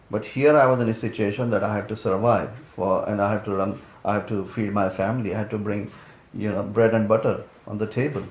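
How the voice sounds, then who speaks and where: With a fairly low pitch and fairly even intonation, a man talks at a very fast pace. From India. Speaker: immigrant career coach. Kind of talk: interview. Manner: halting, repetitive starts.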